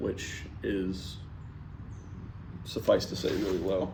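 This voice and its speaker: Speaking very slowly, a man is heard with audible room echo. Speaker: saxophone player vlogging practice. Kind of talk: casual solo vlog talk. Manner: halting, many fillers.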